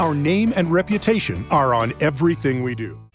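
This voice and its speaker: Music plays in the background while a man speaks. His pace is moderate and his pitch swings very widely. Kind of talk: TV commercial read.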